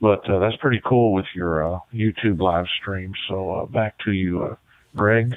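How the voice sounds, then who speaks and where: An ordinary speaking voice from a man, fairly low in pitch, fairly slow, with fairly even intonation. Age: 60s. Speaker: retired ham radio operator. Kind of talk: ham radio contact chat. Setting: radio contact from bedroom shack.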